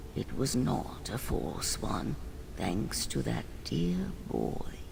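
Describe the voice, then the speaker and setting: A man puts on a character voice and speaks very slowly. Loud background noise fills the recording. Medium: video game. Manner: weary, melancholy.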